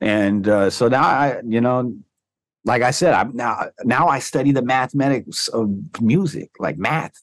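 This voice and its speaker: This man has a plain, everyday voice at a medium pitch. He talks at a fairly slow pace with ordinary pitch variation. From US West Coast, Orange County, Southern California. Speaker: DJ and hip hop producer. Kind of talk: casual chat.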